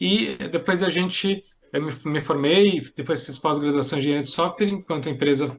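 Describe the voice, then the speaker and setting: With ordinary pitch variation, a man speaks at a moderate pace in a fairly high voice. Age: 40s. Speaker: social entrepreneur and software engineer. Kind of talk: podcast interview.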